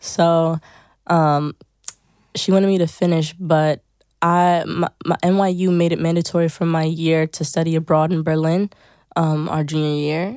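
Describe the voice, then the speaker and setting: A woman with an American accent speaks at a fairly low pitch in a dark, mellow tone with monotone, flat intonation. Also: moderate pace. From New Jersey. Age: 20s. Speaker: songwriter and producer. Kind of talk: casual chat. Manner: hesitant with frequent fillers.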